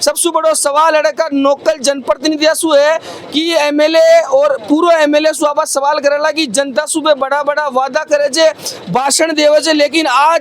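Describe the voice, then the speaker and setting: An extremely high male voice in a flat monotone at very even loudness, with noticeable background noise. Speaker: local news reporter. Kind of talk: field news report. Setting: outdoors at village protest.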